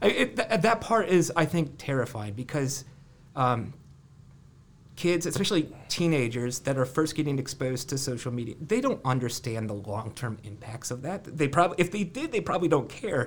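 A man with an American accent speaks at a moderate pace in a fairly high, somewhat breathy voice with lively intonation. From US Midwest, Ohio (Columbus area). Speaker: university lab director, tech researcher. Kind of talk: casual interview. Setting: studio office.

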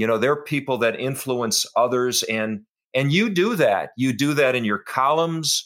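A man with an American accent and an ordinary speaking voice talks at a medium pitch and moderate pace with ordinary pitch variation, on a very clean recording with a silent background. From Minnesota, US (St. Louis Park). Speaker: podcast host, football coach and lawyer. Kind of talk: interview.

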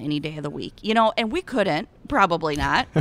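On a very clean recording with a silent background, a woman speaks with lively intonation in an Iowan accent. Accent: Iowan, Upper Midwest. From Eastern Iowa. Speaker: cattle rancher and ambassador. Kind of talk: casual interview chat. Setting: convention booth.

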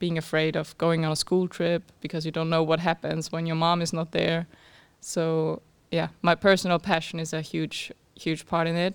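With a German accent, a woman talks at a moderate pace in monotone, flat intonation. The recording is very clean, the background silent. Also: fairly low pitch for a woman. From Austria. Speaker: startup founder. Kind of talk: interview.

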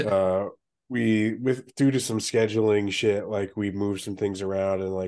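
A man talks at a fairly slow pace with a fairly low pitch. His tone is dark and mellow, and his intonation fairly even. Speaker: podcast host. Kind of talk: casual chat. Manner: low-energy.

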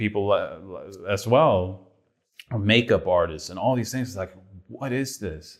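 In a Swedish accent, the speaker goes at a moderate pace with ordinary pitch variation in a very clean recording with a silent background. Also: man. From Sweden. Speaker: film director. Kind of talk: interview.

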